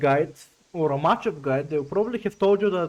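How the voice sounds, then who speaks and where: A man with a non-native accent talks at a very fast pace and a high pitch. His tone is animated and his intonation lively. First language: not English. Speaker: fighting game content creator. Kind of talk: video essay tutorial. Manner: casual, animated.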